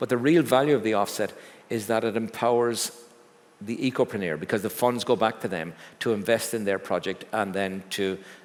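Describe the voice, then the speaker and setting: With an Irish accent, a man talks at a fairly quick pace. His pitch is medium, with ordinary variation. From Ireland. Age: 60s. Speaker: business executive. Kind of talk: fireside chat on stage. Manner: halting.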